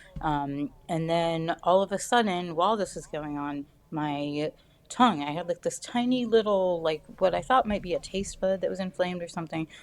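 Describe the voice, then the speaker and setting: A woman with an American accent and an unremarkable speaking voice, fairly low in pitch, with ordinary pitch variation, big swings in loudness and a moderate pace. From US South. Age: 30s. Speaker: cancer patient sharing her story. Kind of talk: interview. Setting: podcast interview.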